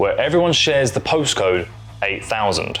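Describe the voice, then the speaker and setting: A man speaks with a British accent at a moderate pace. Noticeable background noise runs behind him. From Britain. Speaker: music YouTuber. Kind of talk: scripted narration. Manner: casual, humorous asides.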